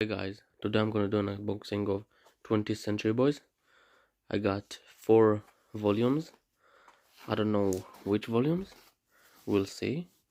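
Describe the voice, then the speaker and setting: With a non-native accent, a man talks in a fairly low, dark, mellow voice with ordinary pitch variation and long, frequent pauses. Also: moderate pace. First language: not English. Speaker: unboxing YouTuber. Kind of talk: casual unboxing vlog. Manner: halting, many fillers.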